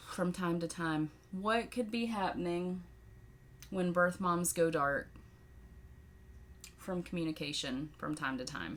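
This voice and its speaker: With a Southern US accent, a woman talks at a fairly low pitch and a fairly slow pace, using ordinary pitch variation and long, frequent pauses. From Tennessee, US South. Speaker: podcaster and birth mother. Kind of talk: Q&A monologue. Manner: animated.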